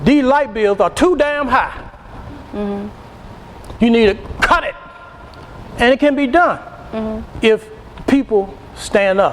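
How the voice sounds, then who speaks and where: Speaking at a very slow pace with long, frequent pauses, a man uses lively intonation and an extremely high pitch over noticeable background noise. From Virginia. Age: 60s. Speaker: political candidate. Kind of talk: interview. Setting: studio.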